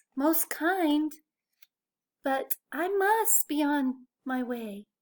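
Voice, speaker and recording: A woman puts on a character voice, high in pitch and very slow in pace. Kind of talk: bedtime story. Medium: read story.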